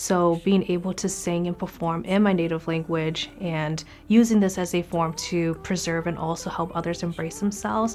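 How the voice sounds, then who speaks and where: Over music in the background, a woman with an Upper Midwest accent speaks at a moderate pace, her fairly low voice using fairly even intonation. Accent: Upper Midwest American. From US Midwest, Wisconsin. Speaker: singer-songwriter. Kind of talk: interview testimony.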